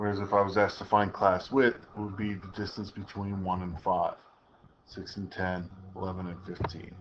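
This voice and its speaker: Monotone, flat intonation with big swings in loudness and audible room echo. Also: man, fairly low pitch for a man. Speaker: statistics teacher. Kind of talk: recorded lecture. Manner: fast; casual.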